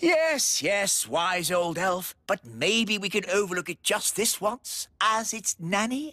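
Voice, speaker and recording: A cartoonish character voice at a middle pitch, fairly slow in pace, with hardly any pauses. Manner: blustering, flustered.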